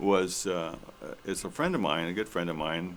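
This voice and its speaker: A man with a very deep, low voice and an American accent, fairly even in intonation, with audible room echo. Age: 70s. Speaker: elder storyteller, military veteran. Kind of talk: personal storytelling on stage. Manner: halting, many fillers.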